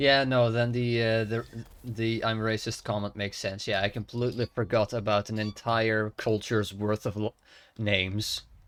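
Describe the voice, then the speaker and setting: Speaking at a moderate pace, a man with a Dutch accent keeps a medium pitch and a monotone, flat intonation. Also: very clean recording, silent background. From Netherlands. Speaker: video game streamer. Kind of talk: casual live-stream chat. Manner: halting.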